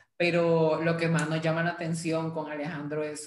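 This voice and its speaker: The man's voice is fairly high in pitch. Room echo can be heard. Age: 18. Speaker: podcast host, graphic designer. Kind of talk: casual chat.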